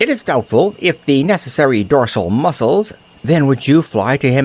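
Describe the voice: Someone is doing plain reading aloud. That is all the clip holds.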